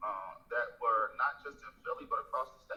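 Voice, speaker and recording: A man is speaking. His pace is moderate. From Philadelphia. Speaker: state legislator. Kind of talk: interview answer. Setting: video call.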